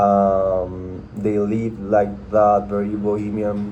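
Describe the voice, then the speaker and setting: There is audible room echo as a man talks with a Spanish accent. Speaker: content creator. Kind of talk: casual chat. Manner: halting, many fillers and repetitions.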